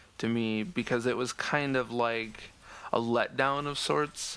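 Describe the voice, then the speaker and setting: This man's medium-pitched voice holds a fairly even intonation in a very clean recording with a silent background. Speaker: gaming commentator. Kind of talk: game discussion commentary. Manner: monotone.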